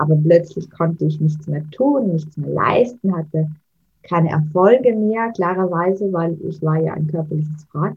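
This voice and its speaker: A woman's fairly low voice at a moderate pace, with a slight Austrian accent. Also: ordinary pitch variation. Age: 30s. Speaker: mental coach and author. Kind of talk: interview.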